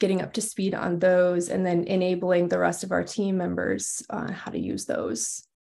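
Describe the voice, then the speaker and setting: A woman with an American accent speaks at a medium pitch, her intonation fairly even. She has an ordinary speaking voice. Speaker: marketing technology architect. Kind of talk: interview.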